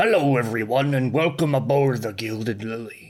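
A raspy voice at a moderate pace. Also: man. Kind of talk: podcast show introduction. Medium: actual play. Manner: warm, playful, theatrical.

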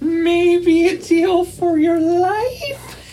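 Clear background noise sits behind a put-on character voice pitched extremely high. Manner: gesturing, tempting, menacing.

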